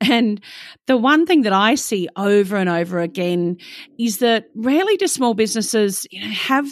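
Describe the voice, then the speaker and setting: Over a silent background in a very clean recording, a woman speaks with an Australian accent. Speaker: podcast host. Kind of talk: interview.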